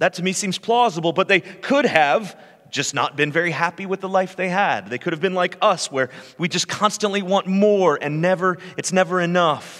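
The voice moves at a moderate pace. Its pitch varies in an ordinary way. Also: man, high pitch for a man. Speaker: lead pastor. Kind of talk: sermon. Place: church. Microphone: headset.

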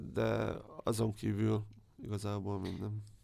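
A man's voice sits at a fairly low pitch with a dark, mellow tone. He speaks at a fairly slow pace with fairly even intonation. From Hungary, Debrecen. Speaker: sports journalist. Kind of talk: interview.

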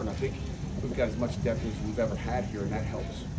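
A man talking at a very fast pace, music in the background. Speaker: head football coach. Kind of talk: press interview answer. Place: street.

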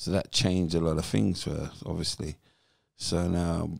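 Against a quiet background, a man speaks at a moderate pace with a very deep, low pitch and ordinary pitch variation, the sound dry with no echo. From England. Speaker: former professional footballer. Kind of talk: podcast interview, personal life story. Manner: animated storyteller. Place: home room. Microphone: handheld.

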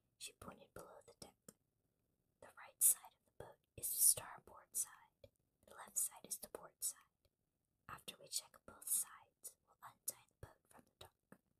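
A whisper at a fairly slow pace. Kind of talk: children's book read-aloud. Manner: whispered.

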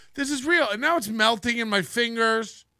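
Against a quiet background, a man projects a raised voice with a bright, sharp tone in a dry sound with no echo. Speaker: live streamer. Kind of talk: casual live stream chat. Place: studio. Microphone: studio mic.

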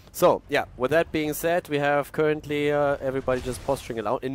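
Here is a man with an unremarkable speaking voice. His pitch is fairly high and his pace fairly quick. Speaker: esports commentator and streamer. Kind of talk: live commentary. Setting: live stream. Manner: casual, self-deprecating, chatty.

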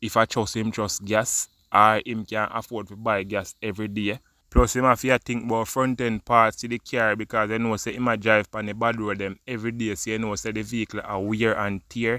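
In a Jamaican accent, a man with a fairly low pitch and a bright, sharp tone speaks at a fairly quick pace with hardly any pauses, in a dry, close sound with no echo on a very clean recording with a silent background. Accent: Jamaican, Patois-inflected. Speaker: vlogger, news commentator. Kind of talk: opinion vlog monologue. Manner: animated.

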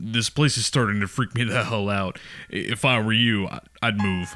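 The put-on character voice is gruff with a calm tone. It moves at a moderate pace. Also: man, medium pitch for a man. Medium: read story. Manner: gruff, laconic, calm, sarcastic; dry, offhand, with a sly insinuating edge.

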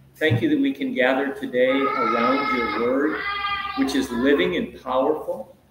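Fairly slow male speech with noticeable noise behind it. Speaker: event host leading prayer. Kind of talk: prayer. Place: church. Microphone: camera far.

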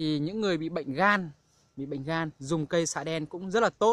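At a moderate pace, a man with a fairly high pitch speaks in a bright, sharp tone with ordinary pitch variation.

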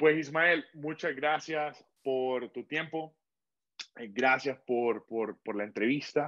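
Against a quiet background, a man talks with ordinary pitch variation. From Honduras (Tegucigalpa); Honduras. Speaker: podcast host; interview host. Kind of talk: interview. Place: home room. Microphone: video call.

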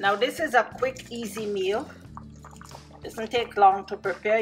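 The speaker goes at a moderate pace with ordinary pitch variation while faint music plays in the background. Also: woman. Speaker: home cook vlogger. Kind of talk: tutorial. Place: kitchen. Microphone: phone near.

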